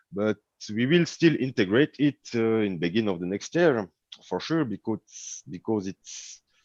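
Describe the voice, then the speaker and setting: In a French accent, a man of medium pitch talks at a moderate pace with very wide pitch swings, the sound dry and close with no echo against a quiet background. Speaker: cryptocurrency developer. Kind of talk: online meeting. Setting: livestreamed online meeting. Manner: halting.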